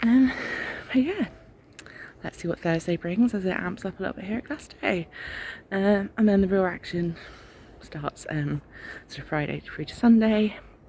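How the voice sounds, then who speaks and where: A soft-spoken woman with an English accent, medium in pitch, with long and frequent pauses. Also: lively intonation, moderate pace. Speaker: travel vlogger. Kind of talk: casual vlog to camera. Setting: outdoors at a festival campsite.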